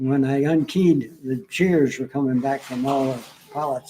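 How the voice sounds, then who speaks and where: Against noticeable background noise, a man speaks in a fairly high pitch with ordinary pitch variation. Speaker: military veteran, former air traffic controller. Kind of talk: interview.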